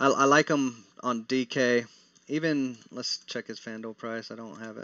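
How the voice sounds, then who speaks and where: A man with an American accent speaks at a medium pitch and a moderate pace. His intonation is fairly even, while his loudness swings widely. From Texas. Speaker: daily fantasy sports analyst. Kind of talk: live stream Q&A. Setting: live stream. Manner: casual, with frequent fillers and restarts.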